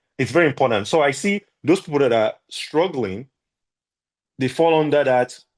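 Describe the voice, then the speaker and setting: Over a quiet background, a man with a fairly high pitch speaks at a moderate pace with lively intonation and very even loudness. He leaves long, frequent pauses. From Nigeria. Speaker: entrepreneur, podcast guest. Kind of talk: interview conversation. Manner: animated.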